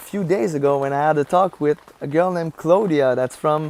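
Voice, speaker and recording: With a Quebec accent, a woman talks at a moderate pace in a very deep, low voice with ordinary pitch variation. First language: French. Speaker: vlogger and life coach. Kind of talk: vlog monologue. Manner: halting, searching for words.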